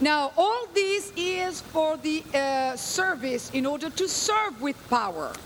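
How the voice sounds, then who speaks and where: Loud and high-pitched, a woman talks at a very slow pace with lively intonation. Noticeable background noise runs under her voice. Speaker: guest preacher. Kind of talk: sermon.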